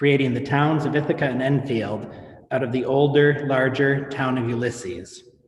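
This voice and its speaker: The speaker goes at a moderate pace with ordinary pitch variation over noticeable background noise. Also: man, fairly high pitch for a man. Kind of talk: event introduction by host. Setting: video call.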